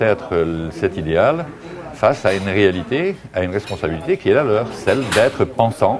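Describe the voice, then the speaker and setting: Music plays in the background as a man speaks. His pitch is medium and his pace fairly slow. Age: 60s. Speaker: author. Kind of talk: interview. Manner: halting.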